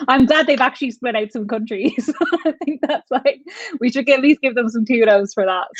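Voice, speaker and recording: Fairly quick speech with ordinary pitch variation, in a dry, close sound with no echo. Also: woman, high pitch for a woman. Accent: Irish. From Ireland. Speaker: travel vlogger. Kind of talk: casual chat. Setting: livestream.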